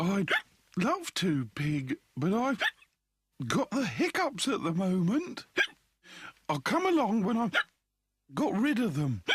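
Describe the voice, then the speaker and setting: In a cartoonish character voice of middle pitch, the speaker swings very widely in pitch, leaving long, frequent pauses. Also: fairly slow pace. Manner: polite, gentle, mild.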